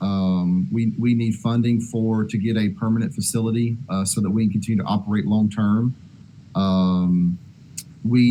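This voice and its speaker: This man's voice has a dark, mellow tone and very even loudness. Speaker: disaster relief organizer. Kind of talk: video conference discussion. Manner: hesitant, many fillers.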